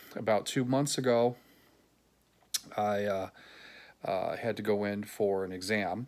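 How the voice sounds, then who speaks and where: This man speaks at a moderate pace with a fairly low pitch and ordinary pitch variation. The recording is very clean, with a silent background. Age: 60s. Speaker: patient sharing experience. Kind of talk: personal video diary. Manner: halting, frequent fillers.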